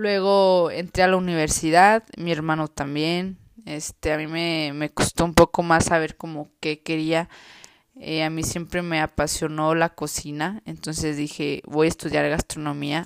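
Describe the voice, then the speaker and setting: On a very clean recording with a silent background and a dry, close sound with no echo, a woman speaks fairly slowly in a very deep, low voice, monotone and flat. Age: 20s. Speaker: vlogger. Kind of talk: personal testimony. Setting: at home. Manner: casual, hesitant.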